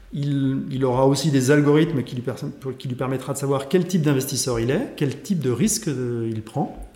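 Amid audible room echo and noticeable background noise, a man speaks at a fairly slow pace in a fairly high pitch. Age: 40s. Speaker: sales executive. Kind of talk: interview.

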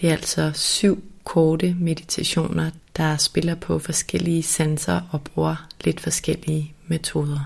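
A woman speaks very slowly in a very deep, low voice with hardly any pauses. Her tone is calm, soothing, somewhat breathy and flat in monotone intonation. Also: very even loudness. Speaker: podcast host and meditation guide. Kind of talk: guided meditation. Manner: slow, calm, soothing, soft-spoken, with gentle pauses.

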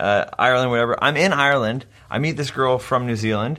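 On a very clean recording with a silent background, a man speaks at a fairly quick pace in a bright, sharp tone, medium pitch and ordinary pitch variation. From Canada. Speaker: podcast co-host. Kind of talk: casual chat. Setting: in-person, shared mic at home.

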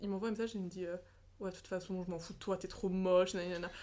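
A woman speaks at a medium pitch. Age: 20s. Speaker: social media creator. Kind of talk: casual chat. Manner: animated.

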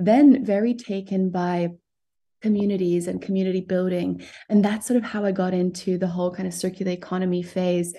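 Over a quiet background, a woman's medium-pitched, somewhat breathy voice carries a dark, mellow tone and fairly even intonation. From Southern Africa and Geneva, Switzerland. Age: 30s. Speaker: tech startup founder. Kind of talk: podcast interview.

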